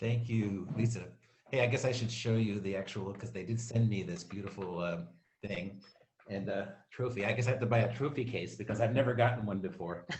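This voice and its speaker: Against audible room echo, a man with a fairly low pitch talks at a fairly quick pace, somewhat breathy and with fairly even intonation. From Maryland, US. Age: 60s. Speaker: award recipient, community committee chair, printer. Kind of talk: acceptance speech.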